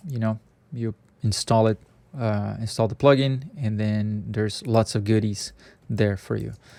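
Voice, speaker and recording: With a non-native accent and a dark, mellow tone, the speaker moves at a moderate pace with long, frequent pauses. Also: man, fairly low pitch for a man. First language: not English. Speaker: software scripting tutor. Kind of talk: screen-share coding tutorial. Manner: halting, many fillers; casual, conversational.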